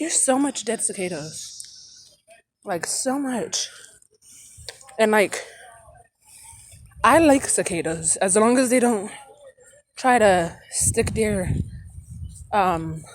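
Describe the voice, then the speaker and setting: Her pitch fairly high, a woman speaks at a very slow pace with long, frequent pauses. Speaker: vlogger. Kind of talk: casual vlog monologue. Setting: outdoors, walking. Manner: loud and hyper; rambling, with many fillers.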